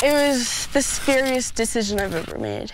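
A woman talking at a fairly quick pace, with noticeable background noise. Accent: American. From United States (adopted from Russia at age two). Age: young (18). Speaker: para athlete. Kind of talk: interview.

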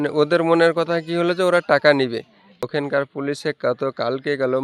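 Recorded with a dry, close sound and no echo, a man at fairly high pitch uses fairly even intonation in a normal speaking voice. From Murshidabad, West Bengal, India. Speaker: brother of deceased migrant worker. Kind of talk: news interview.

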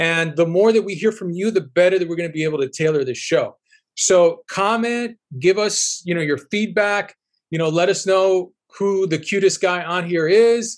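A man speaks at a moderate pace over a quiet background. His pitch is high for a man. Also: ordinary pitch variation. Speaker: podcast co-host; show host. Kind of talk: casual chat. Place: home room. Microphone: webcam.

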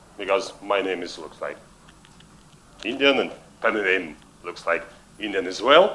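Speaking with a Russian accent, a man keeps a moderate pace. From Russian-speaking world. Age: 50s. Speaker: public speaking coach. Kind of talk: keynote talk. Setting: stage with audience. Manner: halting. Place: stage. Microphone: headset.

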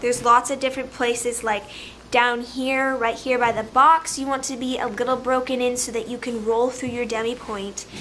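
Over light background noise, a woman speaks in a high pitch at a moderate pace with monotone, flat intonation. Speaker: dance vlogger. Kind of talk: tutorial. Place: home room. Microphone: phone near.

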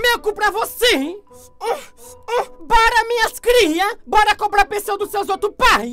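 Putting on a character voice, a man speaks at a fairly slow pace in an extremely high pitch, leaving long, frequent pauses while faint music plays in the background. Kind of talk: comic overacting. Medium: fan dub. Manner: sassy, defiant.

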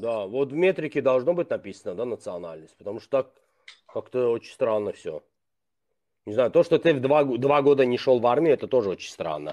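A man with a dark, mellow tone talks at a fairly quick pace with lively intonation. He leaves long, frequent pauses against a quiet background. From Azerbaijan. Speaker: blogger. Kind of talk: casual chat. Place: home room. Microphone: video call.

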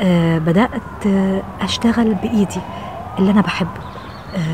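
A woman speaks at a fairly slow pace, her pitch rising and falling in an ordinary way. Background noise is noticeable. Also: dry sound with no echo. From Egypt. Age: 50s. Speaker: TV presenter and journalist. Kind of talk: personal reflection to camera. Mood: warm, reflective.

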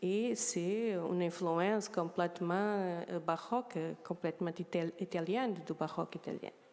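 Slightly low-pitched, a woman speaks at a fairly slow pace with ordinary pitch variation. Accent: Portuguese. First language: Portuguese (speaking French). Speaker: art historian; panelist. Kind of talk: conference talk. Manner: halting. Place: hall. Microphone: handheld.

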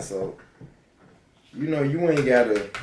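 Speaking rather slowly with normal pitch movement, this man is heard against clearly noticeable background noise. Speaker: cooking vlogger. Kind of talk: casual vlog chat about faith. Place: kitchen. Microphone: phone near.

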